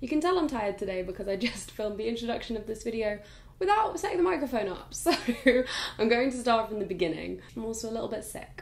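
A hoarse, put-on character voice rattles along at a very fast pace. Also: woman, fairly high pitch for a woman. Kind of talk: casual vlog chat.

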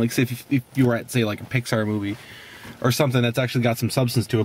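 A man speaks at a very fast pace. The sound is dry with no echo. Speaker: movie reviewer. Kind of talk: casual movie review chat. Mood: amused, opinionated. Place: car. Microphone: phone near.

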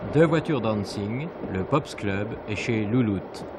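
Clear music plays behind a man who talks at a fairly slow pace. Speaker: TV news narrator. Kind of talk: news report narration. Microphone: old recording.

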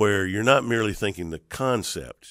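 Vocal fry shows up in a man's fairly low voice, and his intonation is lively. The sound is dry with no echo, over a quiet background. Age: 50s. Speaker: podcast host, seminary dean and pastor. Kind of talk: interview conversation. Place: studio. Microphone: studio mic.

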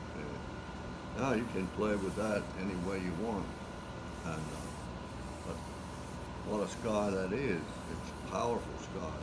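A man with an American accent, very slow and full of long, frequent pauses, against loud background noise. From Tangier Island, Virginia. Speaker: watercolor painter and art teacher. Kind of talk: painting class demonstration. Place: classroom. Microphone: phone near.

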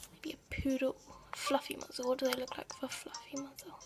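Over noticeable background noise, a woman speaks at a high pitch. Her pace is fairly slow. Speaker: gaming video creator. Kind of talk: casual gameplay commentary.

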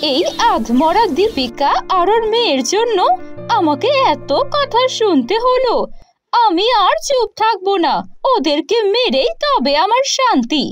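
A woman's put-on character voice, extremely high-pitched, with very wide pitch swings, at a fairly slow pace over background music. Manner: harsh, angry.

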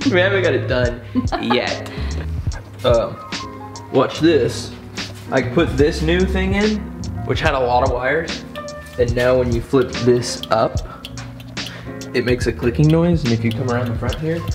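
Clear music plays in the background as a man speaks with long, frequent pauses. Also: fairly slow pace. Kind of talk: casual vlog chat. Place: garage. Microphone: camera far.

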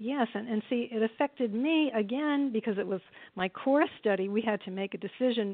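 At a fairly quick pace, a woman with a normal speaking voice talks at a fairly high pitch with ordinary pitch variation. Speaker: author and retired elementary teacher. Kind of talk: casual interview chat.

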